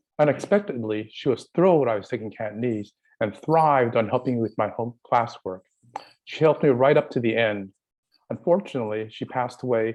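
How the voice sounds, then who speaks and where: A man with a medium-pitched voice and ordinary pitch variation talks fairly quickly. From San Francisco, US West Coast. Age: 60s. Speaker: community college student giving public comment. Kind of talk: public comment at board meeting.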